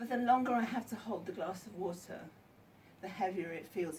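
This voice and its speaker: Speaking with an English accent, a woman keeps a fairly quick pace and ordinary pitch variation. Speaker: counsellor and author. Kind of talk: book launch talk. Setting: bookshop event with audience. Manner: hesitant, many ums.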